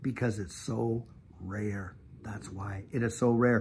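A man speaks with an American accent. His voice is somewhat breathy. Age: 50s. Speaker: YouTube channel host. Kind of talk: devotional talk. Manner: animated. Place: garden. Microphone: phone near.

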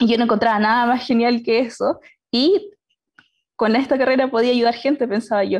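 In a quiet setting, a woman with a high voice talks at a fairly quick pace with ordinary pitch variation. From Chile, Concepción; Chile. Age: 20s. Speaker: aerospace engineering student. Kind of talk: personal story in panel talk. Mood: warm, smiling. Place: home room. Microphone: video call.

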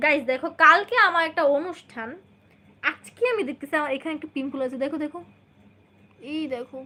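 In a raised, projected voice, a woman speaks at a high pitch with a bright, sharp tone and ordinary pitch variation. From Bangladesh, Kushtia. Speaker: vlogger. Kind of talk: livestream chat with viewers. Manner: animated.

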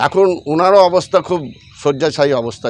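With ordinary pitch variation, this is an ordinary speaking voice. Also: man. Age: 50s. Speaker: local party worker. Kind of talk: news interview statement.

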